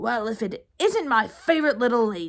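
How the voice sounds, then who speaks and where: Putting on a growling character voice, a woman projects at a fairly high pitch and a moderate pace. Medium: read story. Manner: jovial, dry-witted.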